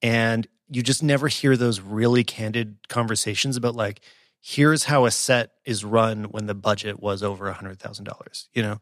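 Medium in pitch, a man talks in a normal speaking voice with fairly even intonation. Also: moderate pace. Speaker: podcast host. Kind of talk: casual interview. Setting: remote call.

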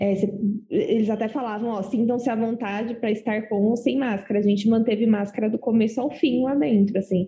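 A woman's fairly high, fairly even voice at a fairly quick pace, with music in the background. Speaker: podcast co-host. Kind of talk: casual chat.

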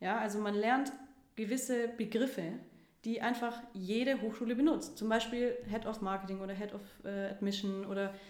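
Over noticeable background noise and audible room echo, a woman speaks at a moderate pace with a fairly high pitch and ordinary pitch variation. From Stuttgart, Germany. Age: 20s. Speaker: startup co-founder. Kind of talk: interview.

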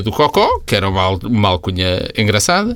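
The pace is fairly quick as a man talks. His pitch swings very widely. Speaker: podcast co-host. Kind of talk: casual chat.

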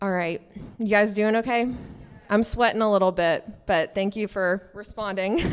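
With a normal speaking voice, a woman talks at a moderate pace and medium pitch, her intonation fairly even. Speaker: preacher. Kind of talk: sermon. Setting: church with congregation.

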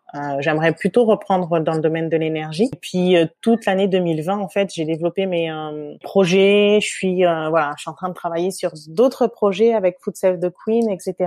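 Recorded dry and close with no echo, a woman at a medium pitch speaks at a moderate pace with a dark, mellow tone and ordinary pitch variation. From metropolitan France. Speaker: entrepreneur and food blogger. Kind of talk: interview conversation.

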